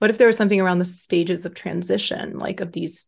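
A woman with an American accent, fairly low in pitch with vocal fry, at a fairly quick pace and with ordinary pitch variation. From Texas, Austin. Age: 30s. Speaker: life coach. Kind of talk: casual chat.

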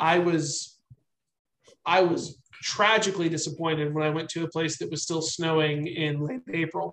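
Speaking at a moderate pace with fairly even intonation, a man with an American accent has an unremarkable speaking voice at a fairly high pitch. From US, army brat. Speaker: army veteran and novelist. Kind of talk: casual interview chat.

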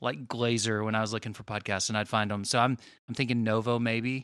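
Speaking with an American accent, a man uses a medium pitch, a moderate pace and a bright, sharp tone on a very clean recording with a silent background. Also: dry, close sound with no echo. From Southern Illinois. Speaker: guitarist co-host. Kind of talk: casual chat.

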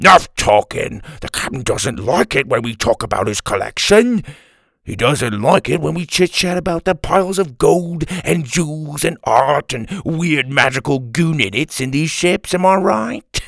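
Someone does a put-on character voice with vocal fry, speaking at a fairly slow pace with lively intonation. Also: man, fairly high pitch for a man, dry, close sound with no echo, fairly bright tone.

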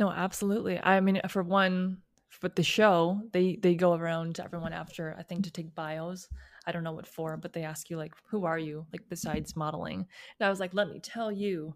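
A woman with an American accent speaks in an ordinary speaking voice, fairly low in pitch and fairly even in intonation, on a very clean recording with a silent background. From US Midwest, outside Chicago, Illinois. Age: 20s. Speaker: analyst, model and recording artist. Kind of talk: interview.

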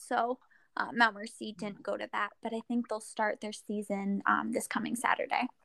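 At a moderate pace, a woman with a Midwestern American accent speaks at a fairly high pitch, in a dry, close sound with no echo on a very clean recording with a silent background. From Iowa, rural Central City. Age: 20s. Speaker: distance runner. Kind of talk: casual chat.

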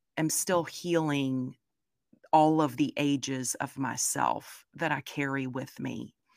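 Very slow and in a Southern US accent, a woman speaks with a very deep, low pitch, a bright, sharp tone and fairly even intonation on a very clean recording with a silent background. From US South. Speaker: content creator and product designer. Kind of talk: interview.

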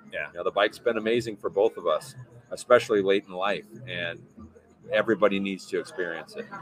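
Background noise is noticeable. A man talks at a very fast pace. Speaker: mountain bike coach and former pro rider. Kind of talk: casual interview chat. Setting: live stream with chat.

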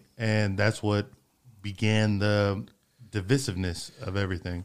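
A man speaks with a Texan accent at a fairly slow pace. His pitch sits fairly low. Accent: Texan American. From Freeport, Texas. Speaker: podcast host. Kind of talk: casual chat. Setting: studio.

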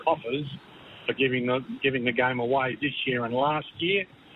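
Man with an Australian accent, medium pitch and fairly even intonation. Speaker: football pundit. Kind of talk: radio panel discussion.

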